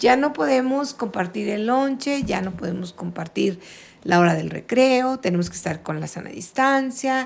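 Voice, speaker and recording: Speaking at a moderate pace, a woman has an ordinary speaking voice, medium in pitch with lively intonation. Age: 60s. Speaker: retired teacher. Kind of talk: casual chat.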